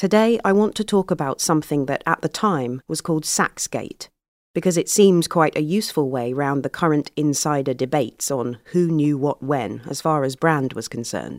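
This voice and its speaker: Delivered at a moderate pace with hardly any pauses, this is a very clean recording against a silent background. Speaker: narrator. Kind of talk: reading aloud.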